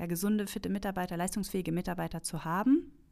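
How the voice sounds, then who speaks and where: A woman's medium-pitched voice, a normal speaking voice with ordinary pitch variation, on a very clean recording with a silent background. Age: 30s. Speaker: customer experience manager. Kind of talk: casual chat.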